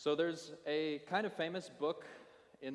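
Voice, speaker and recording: The pace is fairly slow. It is a normal speaking voice. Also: man. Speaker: pastor. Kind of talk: sermon.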